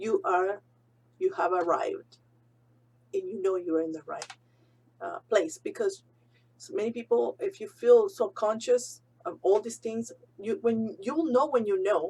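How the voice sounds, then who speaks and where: At a fairly slow pace, a woman speaks with long, frequent pauses and big swings in loudness. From abroad, came to US fairly young. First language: not English. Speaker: real estate broker. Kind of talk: casual vlog talk.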